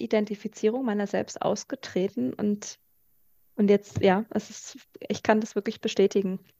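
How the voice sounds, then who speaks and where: A woman's dark, mellow voice, fairly slow and fairly even in intonation, with a dry, close sound and no echo. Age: 30s. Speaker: podcast co-host and coach. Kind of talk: casual chat.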